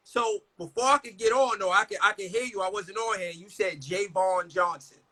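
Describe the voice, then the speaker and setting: A raised, projected voice with a bright, sharp tone carries ordinary pitch variation in a dry, close sound with no echo. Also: man. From New York, Brooklyn (Crown Heights). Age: 40s. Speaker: comedian. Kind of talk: casual chat.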